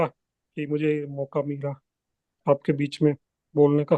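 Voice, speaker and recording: A man speaks with a Gujarati accent. The sound is dry and close, with no echo. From Gujarat, India. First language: Gujarati (speaking Hindi). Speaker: devotee sharing a talk. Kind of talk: spiritual talk.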